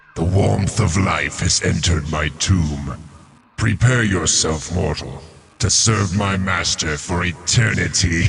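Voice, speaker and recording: This man puts on a booming character voice with a very deep, low pitch. He delivers it at a fairly slow pace. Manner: ominous, commanding.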